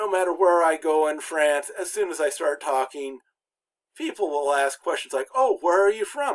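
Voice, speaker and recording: In an American accent, a man with a high voice talks at a moderate pace with lively intonation. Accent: American accent when speaking French. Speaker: college instructor, former pastor. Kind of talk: lecture. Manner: many filler words and false starts; pauses between words when speaking French.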